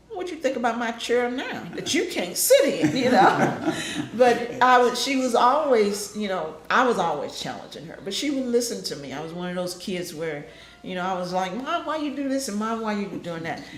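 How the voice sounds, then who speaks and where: A woman's fairly high voice with very wide pitch swings at a moderate pace, audible room echo and noticeable background noise. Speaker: family member recalling her mother. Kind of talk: family group interview.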